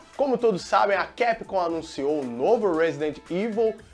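The intonation is lively. Faint music plays in the background. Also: man. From Brazil. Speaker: TV presenter. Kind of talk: casual talk to camera. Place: studio. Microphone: lapel.

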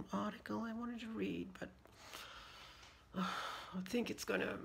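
Light background noise behind a woman's voice. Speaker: vlogger. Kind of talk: casual talk to camera. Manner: speaking in a raised pitch. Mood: stressed, venting.

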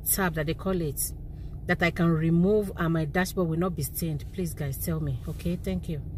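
Against light background noise, a woman speaks at a moderate pace in a dry recording with no echo. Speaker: vlogger. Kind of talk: casual vlog chat. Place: car. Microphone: phone near.

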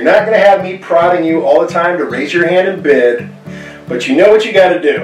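Faint music sits in the background as a man speaks, with audible room echo. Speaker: auctioneer. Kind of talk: casual promotional message to camera. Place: home room.

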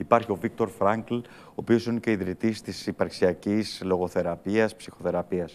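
Ordinary pitch variation accompanies a moderate pace of speech. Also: man. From Germany, son of Greek immigrants. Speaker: theatre director; theatre director or actor guest. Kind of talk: interview. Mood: thoughtful, serious. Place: studio. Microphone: lapel.

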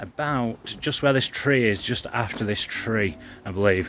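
Music runs in the background of this dry recording with no echo, and the pitch varies in an ordinary way. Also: man. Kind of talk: casual vlog chat. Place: street. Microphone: phone near.

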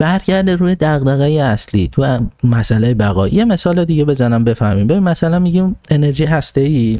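A man with a fairly high pitch and a dark, mellow tone speaks at a moderate pace with lively intonation, very even loudness and hardly any pauses, in a dry sound with no echo over a quiet background. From Iran. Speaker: political commentator; podcast host. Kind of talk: monologue talking to himself. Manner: halting. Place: home room. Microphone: studio mic.

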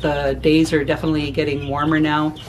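A woman's very deep, low-pitched voice over light background noise. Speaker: homesteading vlogger. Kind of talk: casual vlog chat. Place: home room. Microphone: phone near.

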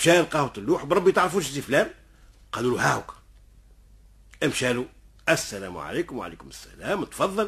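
In an animated tone, a man speaks at a fairly high pitch with very wide pitch swings and some vocal fry. His pace is moderate, broken by long, frequent pauses. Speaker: storyteller. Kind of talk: oral folk storytelling. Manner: animated, acts out dialogue.

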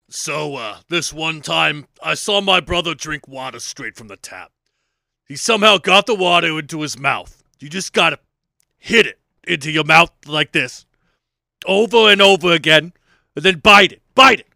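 A cartoonish character voice from a man, fairly high in pitch at a moderate pace, very cleanly recorded against a silent background. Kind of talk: comedic monologue.

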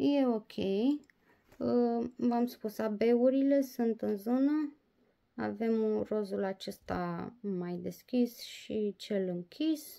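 Speech moves along very slowly. Nothing much stirs behind it. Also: woman. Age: 30s. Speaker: diamond painting vlogger. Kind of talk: casual vlog review; casual vlog chat. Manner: hesitant, many fillers. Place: home room. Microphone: phone near.

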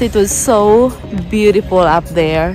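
With clear music in the background, a woman talks at a fairly slow pace in a dry sound with no echo. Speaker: travel vlogger. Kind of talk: casual vlog chat. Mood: happy, excited. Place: street. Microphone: phone near.

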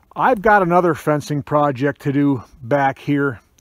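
Against a quiet background, a man speaks at a fairly slow pace with ordinary pitch variation, and the sound is dry with no echo. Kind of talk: casual vlog chat. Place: forest. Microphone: phone near.

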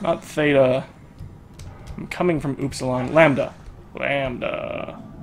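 Over noticeable background noise, a man with a fairly high pitch talks at a moderate pace with ordinary pitch variation and long, frequent pauses. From Canada. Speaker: gaming YouTuber. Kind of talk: let's play commentary. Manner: animated.

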